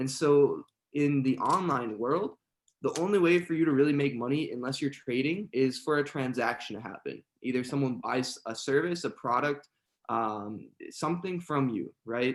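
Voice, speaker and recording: A man speaks at a moderate pace in a fairly high pitch. He has a plain, everyday voice with ordinary pitch variation. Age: 20s. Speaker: online entrepreneur. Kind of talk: podcast interview.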